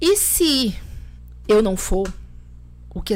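A woman is heard with audible room echo. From Bahia, Brazil. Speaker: lawyer and political activist. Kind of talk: podcast interview.

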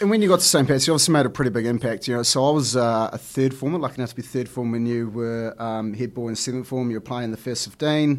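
Over a very clean recording with a silent background, a man with a New Zealand accent talks very fast at a medium pitch, with ordinary pitch variation and hardly any pauses. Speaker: podcast host. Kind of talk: casual interview. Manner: halting, many fillers.

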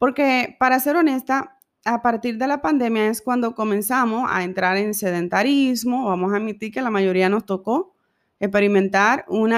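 A woman with an ordinary speaking voice and a fairly high pitch talks at a moderate pace on a very clean recording with a silent background. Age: 30s. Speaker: podcast host. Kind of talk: personal monologue.

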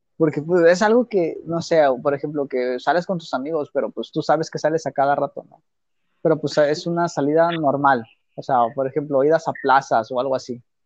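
With an unremarkable speaking voice, a man talks at a fairly quick pace and fairly high pitch, showing ordinary pitch variation and big swings in loudness, in a dry, close sound with no echo against a quiet background. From Mexico. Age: 20s. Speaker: podcast co-host. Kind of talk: casual chat.

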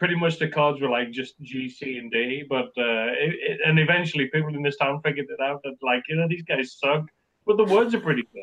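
In a Scottish Borders accent, a man speaks at a fairly quick pace with a fairly high pitch and ordinary pitch variation. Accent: border accent, Scottish-tinged English. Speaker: crime short story writer. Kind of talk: casual interview chat. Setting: remote call. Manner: hesitant, self-deprecating.

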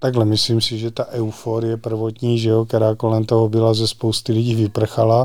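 A man talks at a fairly quick pace with hardly any pauses. His medium-pitched voice stays monotone and flat. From Czechia, Znojmo region (South Moravia). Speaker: sports federation president and club chairman. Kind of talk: interview.

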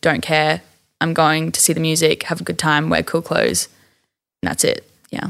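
With an Australian accent, the speaker keeps a moderate pace broken by long, frequent pauses. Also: woman. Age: 20s. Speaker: small clothing brand owner. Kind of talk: casual interview. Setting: studio.

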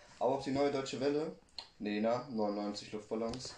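A man's dark, mellow, fairly low voice at a moderate pace, with fairly even intonation and audible room echo. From West Germany, Buxtehude (Lower Saxony). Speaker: interviewee on West German youth. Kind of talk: interview.

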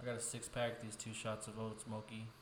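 Over noticeable background noise and audible room echo, a man with an American accent talks at a medium pitch in a monotone, flat way. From West Texas. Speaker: podcast co-host. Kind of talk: casual chat.

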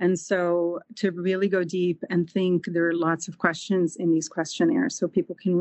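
Speaking at a moderate pace, a woman with a Portuguese accent has a fairly low pitch. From Brazil. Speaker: holistic nutritionist. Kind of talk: interview.

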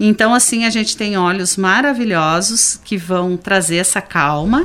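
The woman has a normal speaking voice with lively intonation. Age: 50s. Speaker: special education teacher. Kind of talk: radio interview.

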